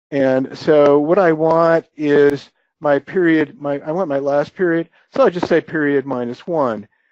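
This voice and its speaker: At a fairly slow pace, a man with a fairly high pitch uses a normal speaking voice with fairly even intonation. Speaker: software presenter. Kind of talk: webinar software demo. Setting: webinar.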